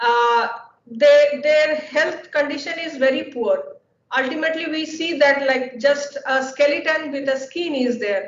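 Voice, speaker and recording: With a Bengali accent, a woman speaks at a moderate pace in a high voice, with audible room echo. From India, Bengal. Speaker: scientist. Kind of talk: lecture. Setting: webinar. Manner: halting, many fillers.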